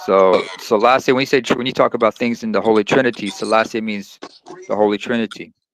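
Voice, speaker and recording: A man with an Eritrean accent, medium in pitch, with fairly even intonation and a very fast pace. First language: Tigrinya. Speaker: live stream host. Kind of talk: casual chat.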